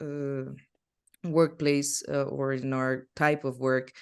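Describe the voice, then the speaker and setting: The delivery is very slow. A Spanish accent colors the words. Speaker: film history teacher. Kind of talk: online masterclass lecture. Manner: halting.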